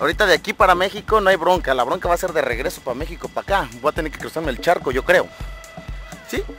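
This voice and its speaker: Over clear music in the background, a man talks at a very fast pace in a dry sound with no echo. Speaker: radio announcer / locutor. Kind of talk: casual talk to camera, vlog-style tour. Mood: jokey, relaxed. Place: street. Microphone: phone near.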